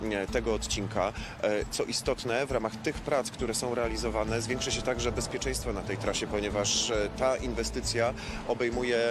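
A man talks fairly quickly in a dry sound with no echo, against noticeable background noise. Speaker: railway company spokesperson. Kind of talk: interview answer. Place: garden.

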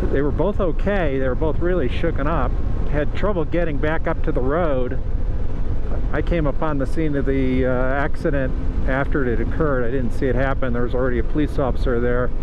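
Over noticeable background noise, a man talks at a fairly quick pace with very even loudness in a dry sound with no echo. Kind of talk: casual vlog chat. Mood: reflective after witnessing accident. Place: motorbike. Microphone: helmet.

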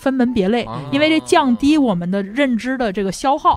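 Fairly quick, high-pitched female speech with very wide pitch swings and noticeable background noise. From northern China, Langfang (Hebei). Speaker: debater. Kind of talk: casual chat. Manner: hesitant, many filler sounds.

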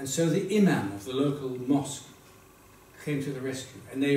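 A man's medium-pitched voice at a fairly quick pace, ordinary pitch variation, audible room echo and light background noise. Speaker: Holocaust survivor giving a talk. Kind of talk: talk to an audience telling personal story. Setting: stage with audience at a school event. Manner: humorous, engaging storyteller. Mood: engaging, occasionally humorous. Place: classroom. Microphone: camera far.

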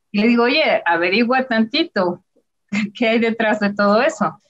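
A woman with an ordinary speaking voice talks at a fairly slow pace. Her pitch is fairly high, with ordinary pitch variation. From Mexico. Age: 40s. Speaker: illustrator. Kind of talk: presentation with slides.

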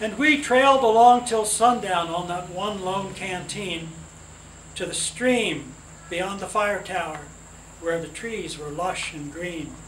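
With lively intonation, a man talks over light background noise as audible room echo follows his words. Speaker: relative reading poetry at a gathering. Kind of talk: poetry reading. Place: garden. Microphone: camera far.

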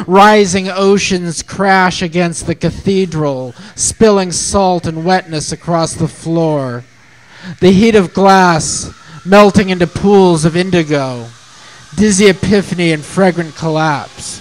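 A man with a high pitch talks at a very slow pace, his pitch varying in an ordinary way. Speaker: open mic poet. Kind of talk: poetry reading, spoken word, ornate surreal imagery read aloud then letter read out. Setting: open mic night. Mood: lyrical, sensual recitation. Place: cafe.

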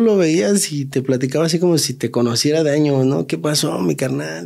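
Quiet background, a man with a Mexico City accent, fairly high pitch, moderate pace, and a dark, mellow tone. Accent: Mexico City Spanish (chilango). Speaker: taxi driver; guest. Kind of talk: casual storytelling. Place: studio. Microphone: studio mic.

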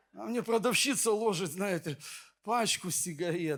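A man speaks with a non-native accent. His voice is high in pitch. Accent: foreign-sounding Ukrainian. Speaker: pastor. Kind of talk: sermon.

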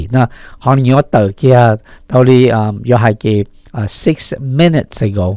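With a northern Vietnamese accent, a man speaks at a medium pitch in a dry, close sound with no echo. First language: Hmong (speaking Vietnamese). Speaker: radio news host. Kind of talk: news reading.

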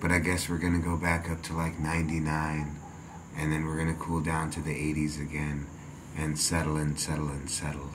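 Through noticeable background noise, a man with a very deep, low pitch speaks at a fairly slow pace in a flat monotone. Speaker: vlogger. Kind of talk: casual vlog chat, reflective. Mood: calm, reflective. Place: home room.

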